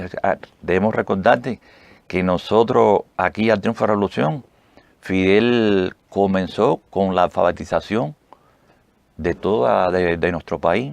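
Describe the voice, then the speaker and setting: With a Cuban accent, a man speaks at a very deep, low pitch. His pace is fairly slow, broken by long, frequent pauses. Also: ordinary pitch variation. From Cuba, Pinar del Río. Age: 70s. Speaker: retired army officer, heart transplant association president. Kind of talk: interview. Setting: radio studio. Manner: halting.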